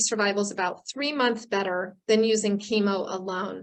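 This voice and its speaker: An ordinary speaking voice from a woman, fairly high in pitch, with fairly even intonation and a moderate pace. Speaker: oncologist and professor of medicine. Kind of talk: lecture.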